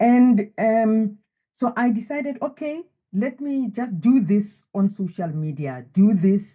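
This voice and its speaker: A woman speaks in a dark, mellow tone that is somewhat breathy. Her pitch swings very widely. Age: 70s. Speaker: wellness author. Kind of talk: interview.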